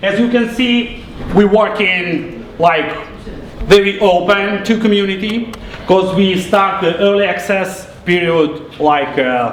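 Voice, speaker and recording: A man with a Russian accent speaks at a very slow pace and high pitch, with ordinary pitch variation. Audible room echo and noticeable background noise surround him. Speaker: game developer. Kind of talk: live product demo presentation. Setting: press event presentation. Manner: halting, with filler words and repetitions.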